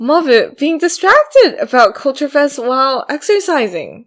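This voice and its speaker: A woman with a non-native accent, high in pitch with very wide pitch swings, at a fairly slow pace. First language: not English. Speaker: podcast co-host. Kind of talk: casual chat. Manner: halting.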